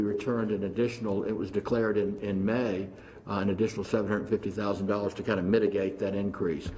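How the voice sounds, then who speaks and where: At a fairly quick pace, a man with a fairly low, dark and mellow voice speaks in a monotone, flat way, with audible room echo. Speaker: insurance pool executive. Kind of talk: formal presentation at public meeting. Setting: county commissioners meeting room. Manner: halting, many fillers.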